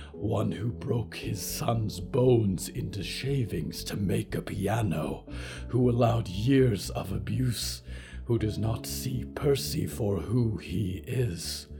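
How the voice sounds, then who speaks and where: Over clear background music, a man uses a put-on character voice with fairly low pitch at a fairly slow pace. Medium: read story.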